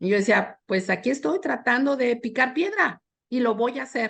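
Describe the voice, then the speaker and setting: A woman's high-pitched voice at a moderate pace. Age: 60s. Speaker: panel expert on organizational change. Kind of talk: panel discussion. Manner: halting, many fillers.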